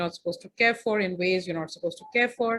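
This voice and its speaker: Lively intonation from a woman at a fairly quick pace. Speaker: feminist filmmaker and speaker. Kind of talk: presentation. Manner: fast.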